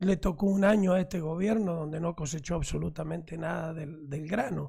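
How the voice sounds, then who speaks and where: A man speaks in a dark, mellow tone. His pace is moderate. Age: 60s. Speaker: mayor. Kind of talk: radio interview.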